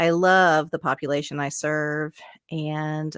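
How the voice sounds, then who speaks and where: On a very clean recording with a silent background and a dry, close sound with no echo, a woman with a slight Southern US accent speaks in a very deep, low pitch. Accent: slight Southern twang. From US South. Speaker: addictions therapist. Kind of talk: casual chat.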